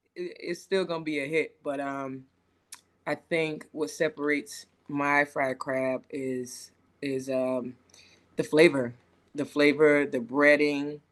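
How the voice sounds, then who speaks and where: In a Lowcountry accent, a woman speaks very slowly at a very deep, low pitch with fairly even intonation. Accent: Southern US, Lowcountry. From Charleston, South Carolina. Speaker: chef, Army veteran. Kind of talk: podcast interview answer. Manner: casual, friendly.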